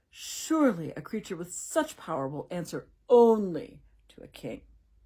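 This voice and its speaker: In a very clean recording with a silent background, a put-on, female-sounding character voice at middle pitch moves at a moderate pace with very wide pitch swings. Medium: read story. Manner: imperious.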